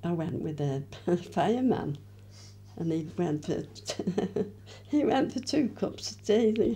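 A woman with vocal fry and a dark, mellow tone speaks at a fairly slow pace and fairly low pitch, her pitch swinging very widely. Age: 80s+. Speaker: interviewee recalling her youth. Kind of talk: interview answer. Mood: cheerful, reminiscing, laughing. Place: home room. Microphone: handheld.

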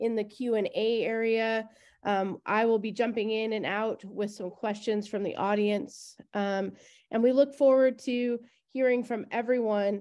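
A woman speaks at a fairly slow pace in a flat monotone with a dark, mellow tone. The background is quiet. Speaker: event host. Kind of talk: welcome speech. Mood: warm, welcoming. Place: home room. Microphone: webcam.

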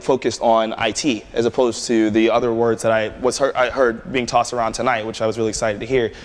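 A man with an American accent. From Prince George's County, Maryland; Maryland. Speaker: tech entrepreneur and speaker; speaker. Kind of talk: conference talk with Q&A. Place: hall.

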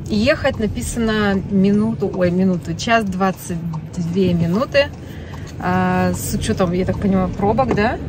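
A woman is speaking with music in the background. The sound is dry, with no echo. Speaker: family vlogger. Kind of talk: casual vlog chat. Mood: cheerful, amused. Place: car. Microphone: phone near.

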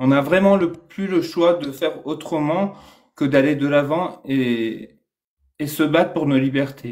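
A man's fairly high voice at a very slow pace, with ordinary pitch variation and a quiet background. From Iran. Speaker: Iranian activist. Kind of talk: casual live discussion. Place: home room. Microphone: video call.

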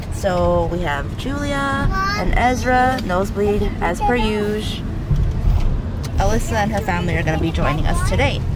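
A woman talks at a moderate pace over loud background noise. The sound itself is dry with no echo. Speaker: family vlogger. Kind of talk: casual vlog chat. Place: car. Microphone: phone near.

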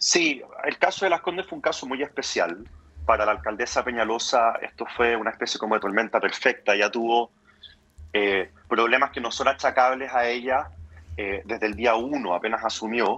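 A man with a normal speaking voice, medium pitch, ordinary pitch variation, and a moderate pace. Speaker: politician. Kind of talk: radio interview.

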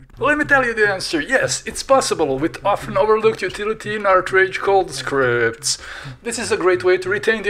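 There's noticeable background noise as a man with a non-native accent speaks at a high pitch. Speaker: digital artist and tutorial maker. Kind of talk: software tutorial narration. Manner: playful, humorous.

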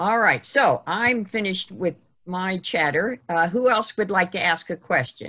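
In a quiet background, a woman with an American accent speaks at a fairly slow pace with a bright, sharp tone. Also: medium pitch for a woman, ordinary pitch variation. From Ohio. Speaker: history group organizer and webinar host; webinar host. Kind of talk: webinar moderation. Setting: video call. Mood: friendly, enthusiastic. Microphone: video call.

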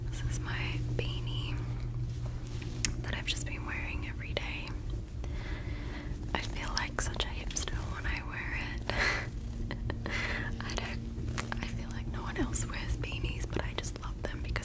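Whispering softly, a woman speaks at a fairly slow pace with long, frequent pauses. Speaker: video creator. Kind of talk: casual soft-spoken ASMR-style chat. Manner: soft, hushed ASMR whisper. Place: home room. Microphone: studio mic.

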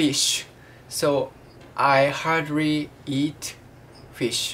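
A woman's very deep, low voice with a Japanese accent over light background noise. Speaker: vlogger, student. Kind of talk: casual video diary. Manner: halting, hesitant with many fillers. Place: home room. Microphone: webcam.

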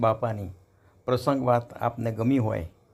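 There is a man speaking with a normal speaking voice. His pitch is medium. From Saurashtra, Gujarat (Bhavnagar area). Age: 60s. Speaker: devotional storyteller. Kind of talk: devotional anecdote narration. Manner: formal.

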